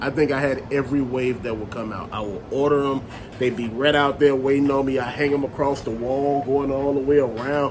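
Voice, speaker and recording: A man's fairly high-pitched voice in monotone, flat intonation at a fairly quick pace, with audible room echo and noticeable background noise. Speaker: toy collector and vlogger. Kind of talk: casual monologue. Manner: loud; rambling, conversational.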